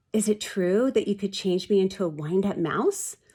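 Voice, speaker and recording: A female-sounding, shaky put-on character voice talks at a moderate pace in a middle pitch. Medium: read story. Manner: quivering, timid.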